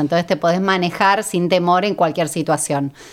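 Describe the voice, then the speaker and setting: With fairly even intonation, a woman talks in a plain, everyday voice. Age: 40s. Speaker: founder of a women drivers community. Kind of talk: interview.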